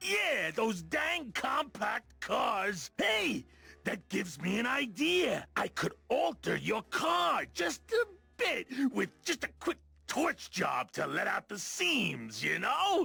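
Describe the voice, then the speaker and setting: Using a put-on character voice, a man speaks at a very slow pace in an extremely high pitch. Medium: video game. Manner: eager, emotional.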